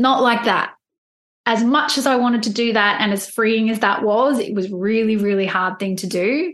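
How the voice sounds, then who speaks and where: This is a woman with an ordinary speaking voice. She talks at a moderate pace and a fairly high pitch with ordinary pitch variation. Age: 40s. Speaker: life coach and podcaster. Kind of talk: casual interview chat.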